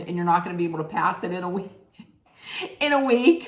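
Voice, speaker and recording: A woman talks in an animated tone. Audible room echo and noticeable background noise surround her voice. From Italian-American family. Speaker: reality TV recap vlogger. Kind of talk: casual rant. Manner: animated, rambling with self-corrections.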